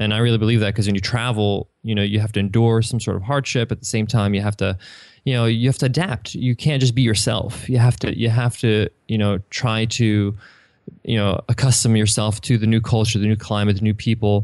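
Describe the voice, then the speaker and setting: An American-accented man at medium pitch and a fairly quick pace, an unremarkable speaking voice with very even loudness against a quiet background. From New York, Long Island. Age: 30s. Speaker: entrepreneur. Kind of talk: interview.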